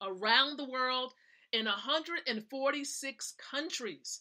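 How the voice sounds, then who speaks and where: In a very clean recording with a silent background, a woman's high, bright, sharp voice is raised and projected, animated in tone with ordinary pitch variation. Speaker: wealth mentor and live show host. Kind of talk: motivational live stream talk.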